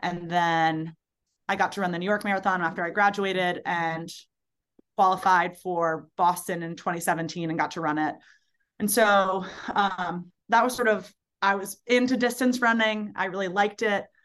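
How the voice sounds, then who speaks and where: A woman talks at a moderate pace and a medium pitch, with fairly even intonation. It is an unremarkable speaking voice. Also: quiet background. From Baltimore, US. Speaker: ultrarunner and summer camp director. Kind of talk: casual interview.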